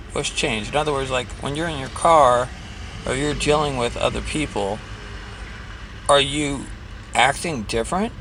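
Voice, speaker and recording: Long, frequent pauses against noticeable background noise. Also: man, moderate pace. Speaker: vlogger sharing anxiety advice. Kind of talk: casual self-help vlog. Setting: in a car, driving. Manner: hesitant, many fillers.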